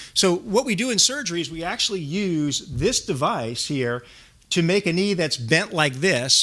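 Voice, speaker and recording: Here a man speaks with an American accent. His tone is bright and sharp, and his pitch swings very widely. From New York. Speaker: orthopedic surgeon and navy reserve officer. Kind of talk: lecture. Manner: fast.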